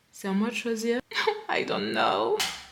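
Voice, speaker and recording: At a fairly slow pace, a woman speaks in an animated tone over noticeable background noise. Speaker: sewing vlogger. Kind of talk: casual vlog tutorial. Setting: at home.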